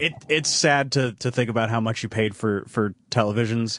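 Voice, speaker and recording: A man speaks at a medium pitch. It is an unremarkable speaking voice. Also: quiet background. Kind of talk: casual radio banter.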